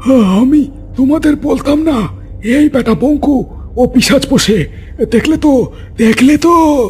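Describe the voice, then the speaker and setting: Over clear background noise, a man performs a cartoonish character voice at a fairly slow pace. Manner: bullying and coarse.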